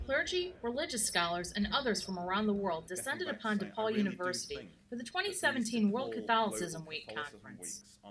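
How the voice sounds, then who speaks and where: A woman talks at a fairly quick pace with hardly any pauses over noticeable background noise. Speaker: TV news reporter and anchor. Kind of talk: TV news package narration.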